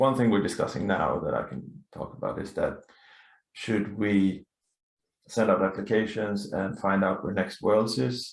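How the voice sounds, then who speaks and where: Pausing long and often, a man speaks at a fairly low pitch. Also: ordinary pitch variation, moderate pace. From Sweden. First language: Swedish. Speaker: laser tag player and council member. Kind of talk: podcast interview. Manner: halting.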